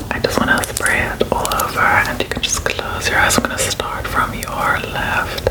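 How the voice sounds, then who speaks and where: A whisper at a moderate pace, with hardly any pauses. Background noise is noticeable. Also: woman. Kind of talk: ASMR personal attention, whispered ramble. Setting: close microphone, ASMR studio.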